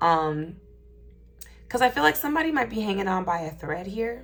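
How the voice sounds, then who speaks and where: With music in the background, a woman talks at a fairly quick pace and medium pitch. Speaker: tarot reader. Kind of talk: tarot reading for a collective audience. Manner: halting, stuttering.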